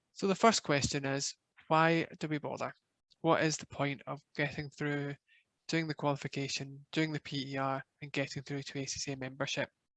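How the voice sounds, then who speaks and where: Speaking with a Glaswegian accent, a man uses a fairly high pitch and a monotone, flat intonation at a moderate pace. The sound is dry and close with no echo, over a quiet background. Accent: Scottish, Glaswegian. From Scotland, Glasgow. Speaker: professional body manager. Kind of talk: webinar presentation.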